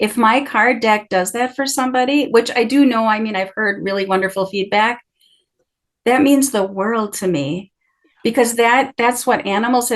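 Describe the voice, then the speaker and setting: At a moderate pace, a woman speaks with a normal speaking voice, a fairly high pitch and ordinary pitch variation. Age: 60s. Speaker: oracle card deck creator and animal wisdom guest. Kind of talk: casual interview conversation.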